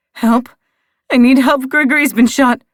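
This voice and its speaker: In a raspy put-on character voice, a female-sounding speaker talks at a moderate pace with a high pitch. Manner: desperate, pleading for help.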